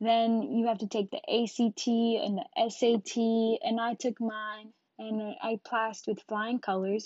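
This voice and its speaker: Very slow speech from a woman, her pitch fairly high. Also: ordinary pitch variation, hardly any pauses, dry, close sound with no echo. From Jamaica, Westmoreland parish. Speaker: podcast host. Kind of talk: casual monologue. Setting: solo podcast recording.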